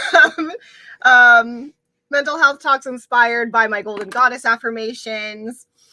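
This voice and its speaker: Speaking loudly at a fairly slow pace, a woman uses a high pitch. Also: ordinary pitch variation. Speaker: mental health content creator and dancer. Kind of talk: casual livestream talk. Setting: home livestream, windows open. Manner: hesitant with many fillers.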